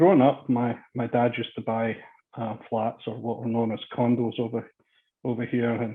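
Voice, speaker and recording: With a Scottish accent, a man speaks at a moderate pace and medium pitch. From Scotland, Glasgow area. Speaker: construction executive. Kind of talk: interview.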